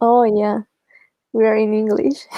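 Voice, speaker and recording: Speaking fairly slowly with a Spanish accent, the woman keeps a fairly high pitch and fairly even intonation in a dry, close sound with no echo. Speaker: book club participant. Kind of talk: casual chat.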